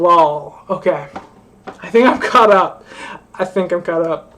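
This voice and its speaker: A woman at medium pitch with ordinary pitch variation, big swings in loudness and noticeable background noise. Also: very slow pace. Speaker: livestreamer. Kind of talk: casual livestream chat.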